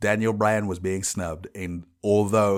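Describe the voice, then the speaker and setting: A man with a London accent talks at a moderate pace, his pitch fairly low and his intonation fairly even. The recording is very clean, with a silent background. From England, London. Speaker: podcast host. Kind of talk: casual solo podcast.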